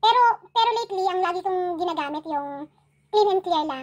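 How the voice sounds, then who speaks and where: Speaking at a moderate pace, a woman has an extremely high pitch. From Philippines. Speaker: YouTube vlogger. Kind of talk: casual livestream chat. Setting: at home. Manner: animated. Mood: chatty, playful. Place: home room. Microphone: phone near.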